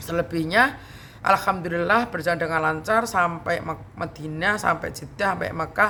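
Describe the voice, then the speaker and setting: Moderate-paced speech from a woman, fairly low in pitch and with ordinary variation. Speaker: YouTube vlogger. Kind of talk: casual storytelling vlog.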